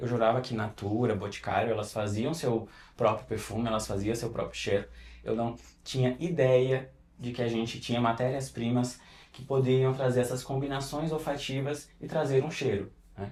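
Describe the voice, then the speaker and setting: This man has a medium-pitched, somewhat breathy voice. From interior of Pernambuco, Brazil. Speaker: perfumer. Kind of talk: podcast interview.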